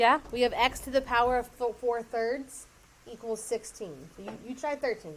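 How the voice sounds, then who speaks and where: A woman's unremarkable speaking voice, fairly high in pitch with ordinary pitch variation, big swings in loudness and a moderate pace. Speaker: math teacher. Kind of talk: classroom lesson. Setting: classroom with students.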